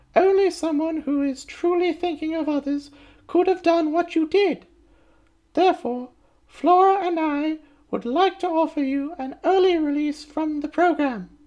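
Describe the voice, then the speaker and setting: A woman puts on a squeaky character voice pitched extremely high. Her intonation stays fairly even at a moderate pace. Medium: read story. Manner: honeyed, false politeness.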